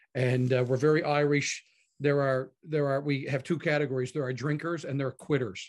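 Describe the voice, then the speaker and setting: This man has a Newfoundland accent. His pitch is fairly high. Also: fairly quick pace. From Canada, Newfoundland (Harbour Grace). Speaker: pastor. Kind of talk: casual interview. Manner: animated.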